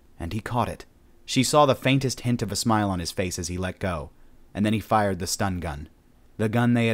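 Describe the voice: Plain reading aloud with ordinary pitch variation fills this clip.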